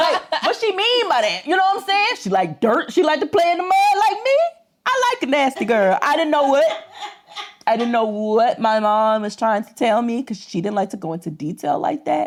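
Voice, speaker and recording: A woman speaks loudly in a high pitch with very wide pitch swings. Her tone is animated and her pace is moderate. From US South (Georgia). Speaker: podcast co-host. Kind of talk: casual chat.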